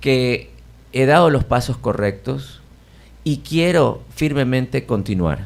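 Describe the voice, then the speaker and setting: Speaking very slowly, a man keeps his voice at a medium pitch. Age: 60s. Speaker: jazz pianist. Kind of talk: radio interview.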